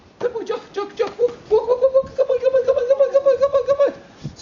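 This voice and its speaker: Squeaky and at an extremely high pitch, this put-on character voice rushes by at a very fast pace. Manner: fast, repetitive, encouraging.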